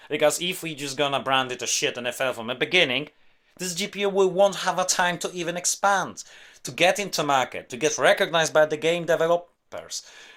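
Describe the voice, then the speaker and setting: In a very clean recording with a silent background, a man with a non-native accent speaks at a high pitch and a fairly quick pace. His tone is bright and sharp, with ordinary pitch variation. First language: not English. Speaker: tech YouTuber. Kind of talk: rant monologue. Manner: animated.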